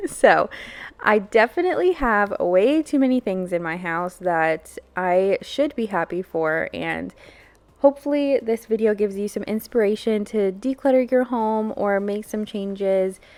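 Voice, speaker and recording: With a normal speaking voice, a woman talks at a fairly slow pace, her fairly high pitch carried by lively intonation. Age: 20s. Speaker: lifestyle vlogger. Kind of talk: casual vlog talk. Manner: casual, filler-heavy.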